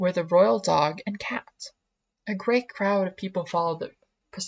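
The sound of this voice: Against a quiet background, the unforced reading voice shows ordinary pitch variation.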